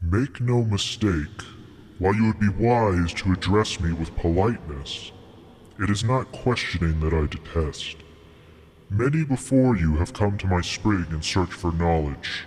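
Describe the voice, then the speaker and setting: A man puts on a character voice, very deep and low, at a moderate pace over clear background noise. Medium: read story. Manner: lofty, formal, cryptic.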